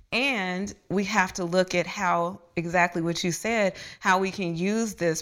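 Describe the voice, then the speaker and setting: In a very clean recording with a silent background, a woman with a normal speaking voice talks at a moderate pace, her medium pitch carrying fairly even intonation. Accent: American. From US Midwest, Dayton, Ohio. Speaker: yoga teacher and educational researcher. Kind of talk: casual interview. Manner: cheerful, smiling.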